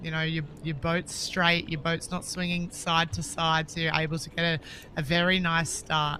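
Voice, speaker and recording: Speaking at a moderate pace in a strong Australian accent, a woman with a fairly low voice keeps her intonation flat and monotone. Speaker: sports commentator, former paddler. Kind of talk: live commentary.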